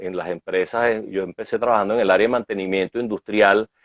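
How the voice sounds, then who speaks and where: A man is speaking. He talks with a Venezuelan accent. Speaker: management consultant. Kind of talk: interview.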